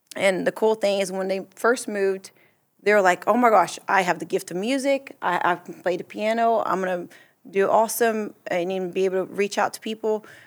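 On a very clean recording with a silent background, a woman speaks at a moderate pace in a Portuguese accent. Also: medium pitch for a woman, fairly even intonation, big swings in loudness. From Brazil. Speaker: church mission trip member and translator. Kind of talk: casual chat.

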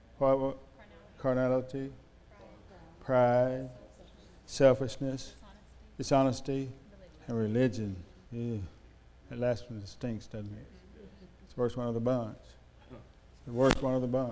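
With audible room echo, a man of medium pitch speaks in a dark, mellow tone and flat, monotone intonation, his loudness swinging widely and long pauses coming often. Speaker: preacher. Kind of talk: sermon. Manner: slurred, mumbly speech; halting, stammering repetitions.

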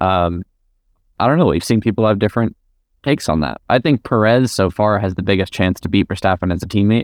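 Fairly quick and fairly low-pitched, a man with an ordinary speaking voice uses ordinary pitch variation in a dry, close sound with no echo. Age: 20s. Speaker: junior open-wheel racing driver. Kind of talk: interview.

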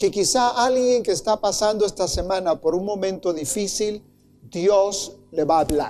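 A man with a high voice speaks at a fairly slow pace, his loudness very even and his pitch varying in an ordinary way. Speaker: pastor. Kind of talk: sermon. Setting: church with congregation.

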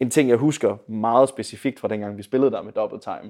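This man's voice has a dark, mellow tone. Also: very clean recording, silent background. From Denmark, Viborg. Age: 20s. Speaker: singer-songwriter and bandleader. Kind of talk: casual interview. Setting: conservatory lounge.

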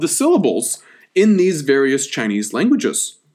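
The voice moves at a moderate pace with very wide pitch swings. The recording is very clean, with a silent background. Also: man. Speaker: history podcast host, academic historian. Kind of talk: lecture. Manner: casual, conversational lecturing with fillers.

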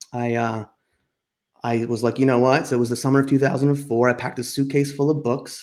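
A man with an American accent, fairly quick, medium-pitched and flat in a monotone. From New Jersey, US. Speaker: holistic health practitioner and podcaster. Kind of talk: casual interview chat.

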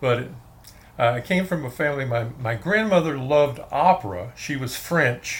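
Speaking with a Texan accent, a man uses lively intonation at a medium pitch. His pace is fairly slow. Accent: Texan American. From Texas, Fort Worth. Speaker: film music fan and author. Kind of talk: casual interview.

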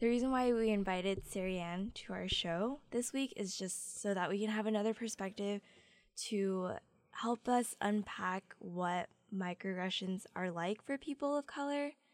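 At a moderate pace, a woman with an unremarkable speaking voice talks at a medium pitch with ordinary pitch variation. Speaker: student radio host. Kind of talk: casual chat. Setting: studio.

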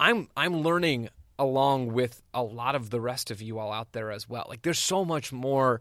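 Delivered at a moderate pace with ordinary pitch variation, this is an unremarkable speaking voice from a man with an American accent. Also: medium pitch for a man. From US Southwest, Arizona. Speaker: soccer writer and podcast co-host. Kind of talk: casual interview. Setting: remote recording.

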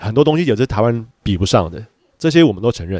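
A dark, mellow tone with lively intonation at a fairly quick pace. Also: man. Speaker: podcast co-host, father, photographer. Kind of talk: casual chat.

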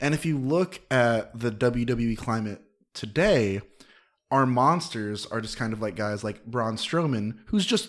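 A man speaks in a plain, everyday voice at a fairly slow pace with lively intonation. The recording is very clean, with a silent background. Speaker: podcast guest. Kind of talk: casual chat. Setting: studio.

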